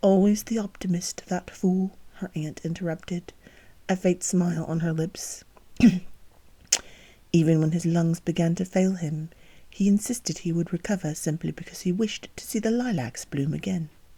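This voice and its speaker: Soft-spoken and calm in tone, this voice keeps a moderate pace with long, frequent pauses, on a very clean recording with a silent background. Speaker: book reader and author of the novel. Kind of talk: soft-spoken sleep-time reading of a romance novel chapter. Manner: soft-spoken, calm.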